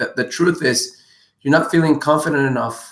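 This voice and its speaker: Using ordinary pitch variation, a man with a non-native accent talks at a moderate pace. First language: not English. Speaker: dating and relationship coach. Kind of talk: live Q&A answering viewer questions. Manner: animated.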